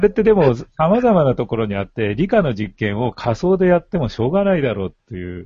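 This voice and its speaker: A somewhat breathy man's voice at medium pitch, fairly quick with hardly any pauses, full of very wide pitch swings and big swings in loudness. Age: old. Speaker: retired teacher discussing education. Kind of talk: casual chat.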